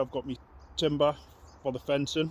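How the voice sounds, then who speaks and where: The speaker is a man. He talks in a Geordie accent. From northern England, Newcastle. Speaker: allotment vlogger. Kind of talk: casual vlog talk to camera. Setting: outdoors on allotment.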